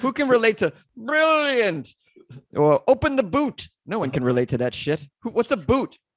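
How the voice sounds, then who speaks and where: In a dry, close sound with no echo, a man speaks at a moderate pace. His high pitch makes very wide swings. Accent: American. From US Northeast, Massachusetts (Boston area). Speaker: comedian and podcaster. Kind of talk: casual podcast interview. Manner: animated, joking.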